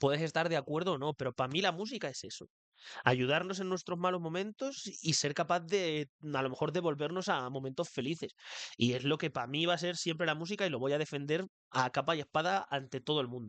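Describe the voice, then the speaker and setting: Speaking at a fairly quick pace, a man uses a fairly high pitch with ordinary pitch variation. The sound is dry and close with no echo, over a quiet background. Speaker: podcast host. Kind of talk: solo podcast monologue. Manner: fast; occasionally stumbling over words.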